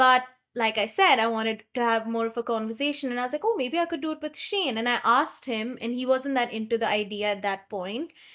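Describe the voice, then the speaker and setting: Bright and sharp in tone, the voice moves at a fairly quick pace with an Indian accent, ordinary pitch variation and hardly any pauses. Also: woman, high pitch for a woman. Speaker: podcast co-host. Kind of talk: casual chat.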